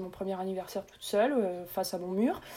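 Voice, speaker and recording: A woman speaks at a fairly quick pace in a dark, mellow tone with ordinary pitch variation. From Réunion. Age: 30s. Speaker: nurse and food blogger. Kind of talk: interview conversation.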